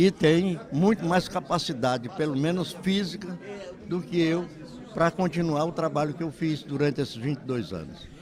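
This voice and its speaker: A man's high-pitched voice with ordinary pitch variation, over noticeable background noise. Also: moderate pace. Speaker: veteran radio broadcaster. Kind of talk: interview.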